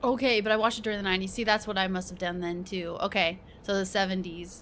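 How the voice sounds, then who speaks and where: This is a woman talking at a medium pitch. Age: 30s. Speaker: streamer. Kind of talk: casual live-stream chat and reaction. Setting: live stream. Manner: animated.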